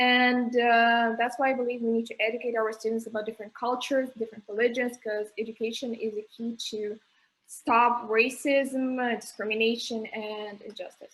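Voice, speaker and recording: A woman's fairly high voice at a moderate pace, in a monotone, flat delivery. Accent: Russian. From Russia. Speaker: student election candidate. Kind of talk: interview. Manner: halting.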